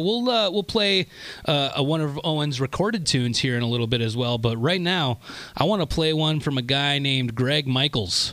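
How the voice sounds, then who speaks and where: A man's upbeat, energetic voice, fairly high in pitch, fairly quick, with lively intonation and very even loudness, over noticeable background noise. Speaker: radio host. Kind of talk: radio dj patter. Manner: smooth, friendly.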